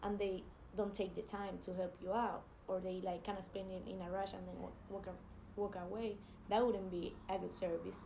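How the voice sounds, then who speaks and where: A woman's medium-pitched voice with a Spanish accent, flat and monotone at a moderate pace, with audible room echo and noticeable background noise. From Spain. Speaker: jiu-jitsu athlete. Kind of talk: casual vlog advice. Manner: hesitant, many fillers.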